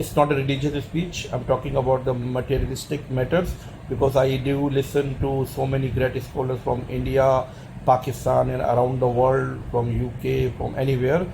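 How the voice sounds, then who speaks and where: Over noticeable background noise, a man talks at a moderate pace. His medium-pitched voice has monotone, flat intonation. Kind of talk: personal opinion monologue. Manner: halting.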